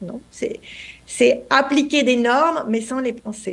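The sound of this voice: A hoarse, put-on character voice, fairly slow in pace, with ordinary pitch variation. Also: woman, high pitch for a woman.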